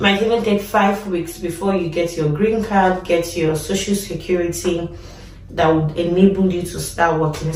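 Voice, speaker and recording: Over noticeable background noise and audible room echo, a woman with a Nigerian accent speaks at a fairly low pitch in a monotone, flat way. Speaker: nurse and vlogger. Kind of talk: casual vlog talk.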